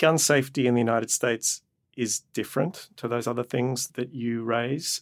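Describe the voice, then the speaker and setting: A man with an Australian accent is heard in a very clean recording with a silent background, the sound dry and close with no echo. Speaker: professor of medicine and law. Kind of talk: interview.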